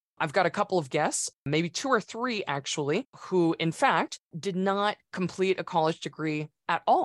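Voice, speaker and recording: With a normal speaking voice, a woman talks at a moderate pace in a fairly low pitch with lively intonation, the sound dry and close with no echo against a quiet background. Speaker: podcast host. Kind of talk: podcast interview.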